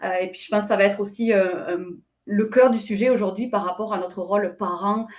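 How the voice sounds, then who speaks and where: The woman's voice sits at a medium pitch with fairly even intonation. She keeps a moderate pace. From southwest France. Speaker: company president, panelist. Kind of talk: webinar panel discussion. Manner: many hesitations and fillers.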